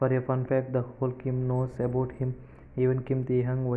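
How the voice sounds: Words are read in a natural reading voice. It is reading aloud.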